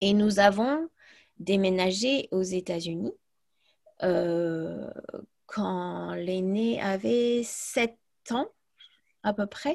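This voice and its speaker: A woman speaks at a very slow pace with a medium pitch, lively intonation, and long, frequent pauses. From US, then Provence from age 11. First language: English (speaking French). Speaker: language teacher. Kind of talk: casual interview.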